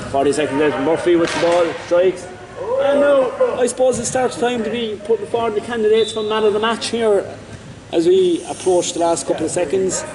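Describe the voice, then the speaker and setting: A man with a Cork accent talks at a fairly quick pace in a high pitch with lively intonation, amid noticeable background noise and audible room echo. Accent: Irish, Cork. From Ireland, Cork. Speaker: sports commentator. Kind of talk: live commentary. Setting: sports center. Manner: animated.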